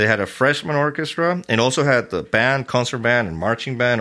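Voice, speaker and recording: This man speaks at a fairly quick pace with a Spanish accent, his medium-pitched voice bright and sharp against a quiet background. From Venezuela. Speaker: orchestra conductor. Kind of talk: casual interview.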